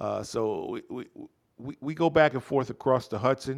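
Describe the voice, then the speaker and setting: A man in a New York accent speaks fairly slowly with lively intonation, in a very clean recording with a silent background. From New York City (Bronx, Harlem) and Jersey City. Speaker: basketball coach. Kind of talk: casual chat.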